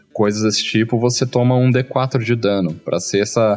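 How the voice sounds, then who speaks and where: Speaking at a moderate pace, a man uses a plain, everyday voice pitched fairly low. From Brazil, small interior town. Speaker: game designer. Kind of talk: casual interview chat. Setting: live video stream.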